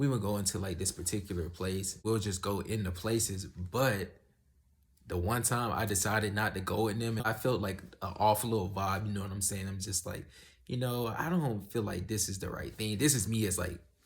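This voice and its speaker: Somewhat breathy, a man speaks at a fairly low pitch and moderate pace with fairly even intonation. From US South. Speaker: YouTuber giving life advice. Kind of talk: casual vlog monologue. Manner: casual, conversational.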